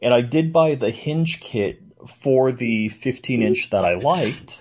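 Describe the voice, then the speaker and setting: This man's voice has a somewhat breathy sound. His pitch stays in the medium range. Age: 50s. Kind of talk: casual chat.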